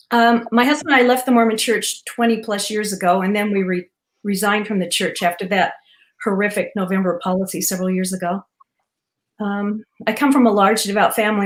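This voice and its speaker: This woman has a normal speaking voice and an American accent. Her pitch is medium and her intonation fairly even. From Utah, Cedar City. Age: 60s. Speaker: retired teacher, panel guest. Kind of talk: casual interview introduction.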